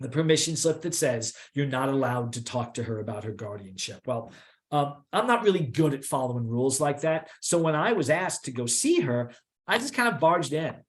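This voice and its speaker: A fairly high-pitched, somewhat breathy man with an American accent, lively intonation and a fairly quick pace. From New York. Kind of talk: lecture. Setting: online presentation. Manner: fast.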